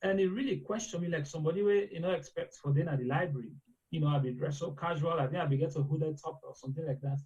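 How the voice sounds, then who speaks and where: With a Sierra Leonean accent, a man with a fairly high voice talks at a very fast pace, his pitch varying in an ordinary way. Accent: Sierra Leonean English with Krio. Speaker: medical doctor. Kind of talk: interview. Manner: conversational, mixes Krio and English.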